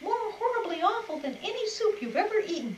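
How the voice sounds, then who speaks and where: Putting on a squeaky character voice at extremely high pitch, a woman talks at a fairly quick pace against clear background noise. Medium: read story.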